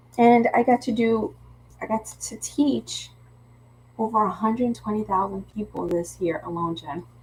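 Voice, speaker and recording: With a Philadelphia accent, a woman speaks at a moderate pace in a fairly high pitch with ordinary pitch variation. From Philadelphia, US. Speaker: craft teacher and live-stream host. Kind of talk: casual live craft-along chat. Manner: chatty, with false starts and repetitions.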